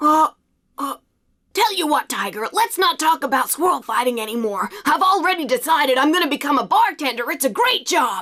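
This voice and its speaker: This is a cartoonish character voice. It sits high in pitch. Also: moderate pace. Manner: casual, brushing things off.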